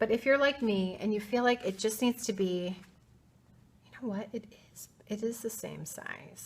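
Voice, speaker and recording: Recorded very cleanly against a silent background, a woman with a Midwestern US accent speaks at a moderate pace and medium pitch with ordinary pitch variation. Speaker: art teacher. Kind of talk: tutorial. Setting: art studio. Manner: casual, chatty.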